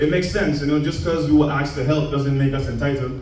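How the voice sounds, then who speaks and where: Audible room echo surrounds a man speaking at a fairly high pitch in a Caribbean accent. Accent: put-on Caribbean accent for poem. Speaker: spoken word poet. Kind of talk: spoken word performance.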